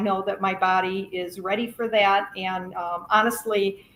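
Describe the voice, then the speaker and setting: A woman's bright, sharp, medium-pitched voice at a fairly slow pace. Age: 70s. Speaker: carnivore diet guest. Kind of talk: casual chat. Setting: live stream panel.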